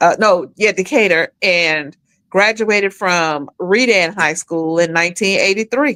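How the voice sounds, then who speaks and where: With a bright, sharp tone and very even loudness, the voice moves at a fairly slow pace with ordinary pitch variation in a dry, close sound with no echo. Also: woman, medium pitch for a woman. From Atlanta area, Georgia (US South). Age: 60s. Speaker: podcast guest. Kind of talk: casual chat.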